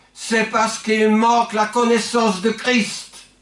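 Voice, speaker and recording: Against noticeable background noise, a man with a high-pitched voice talks at a very slow pace in a monotone, flat intonation. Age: 70s. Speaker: pastor. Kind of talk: sermon. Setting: church.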